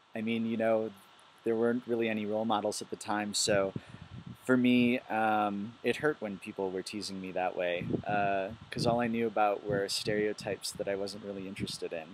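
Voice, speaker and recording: Using a monotone, flat intonation, a man with a fairly low pitch speaks at a moderate pace. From US Midwest, Milwaukee, Wisconsin. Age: 20s. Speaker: biologist. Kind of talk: personal testimony video. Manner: hesitant, many fillers.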